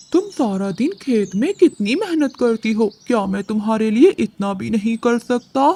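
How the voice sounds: A female-sounding voice does a cartoonish character voice at a fairly high pitch. She keeps a moderate pace with hardly any pauses.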